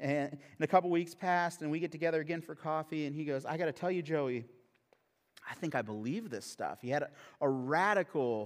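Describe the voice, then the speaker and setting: A man with a plain, everyday voice speaks at a fairly quick pace and fairly high pitch, with ordinary pitch variation. The recording is very clean, with a silent background. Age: 30s. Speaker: pastor. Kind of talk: sermon. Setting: church.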